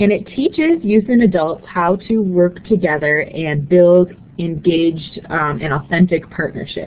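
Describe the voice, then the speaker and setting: Over noticeable background noise, a woman speaks at a fairly slow pace and fairly low pitch with ordinary pitch variation and hardly any pauses. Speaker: nonprofit associate director. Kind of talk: webinar presentation.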